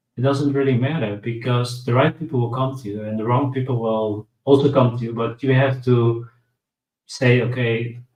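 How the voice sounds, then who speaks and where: A man speaks with monotone, flat intonation. His voice is somewhat breathy. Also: medium pitch for a man, moderate pace. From Netherlands. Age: 30s. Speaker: guest speaking about recovery from addiction. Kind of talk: interview. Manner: halting.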